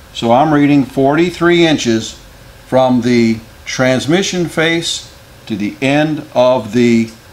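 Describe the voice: Amid audible room echo, a man speaks at a slow pace with ordinary pitch variation.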